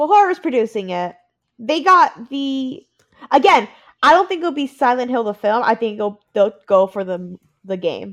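A woman's high voice at a moderate pace, with very wide pitch swings and a quiet background. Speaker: podcast host. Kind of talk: casual chat. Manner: excitable.

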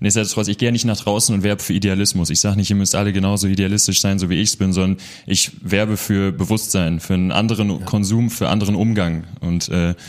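Fairly low male voice, very fast with hardly any pauses, with fairly even intonation and very even loudness. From Münster, Westphalia, Germany. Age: 20s. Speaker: social entrepreneur. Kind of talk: interview.

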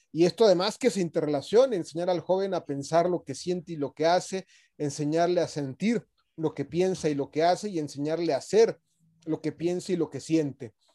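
With a Mexican accent, a man speaks at a fairly quick pace in a high, dark and mellow voice with ordinary pitch variation, in a very clean recording with a silent background and a dry, close sound with no echo. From Mexico. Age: 40s. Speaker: leadership academy founder. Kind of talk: radio interview.

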